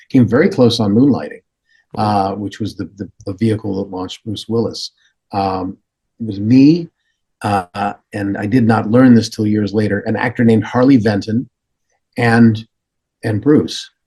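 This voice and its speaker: A man speaks at a moderate pace with a fairly low pitch and fairly even intonation, pausing long and often. His tone is dark and mellow, and somewhat breathy. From Canada. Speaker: voice actor and comedian. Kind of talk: podcast interview answer, conversational storytelling. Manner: casual, anecdotal, conversational.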